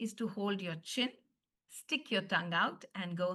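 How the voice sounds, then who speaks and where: A woman speaks with an Indian accent at a moderate pace. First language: Hindi. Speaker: phonics teacher trainer. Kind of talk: online training session.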